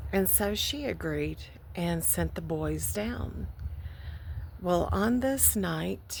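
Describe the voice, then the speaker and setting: Very slow speech broken by long, frequent pauses, in an American accent, with audible room echo. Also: woman. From Texas, Houston. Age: 60s. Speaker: vlogger. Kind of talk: personal testimony. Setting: outdoors by a lake.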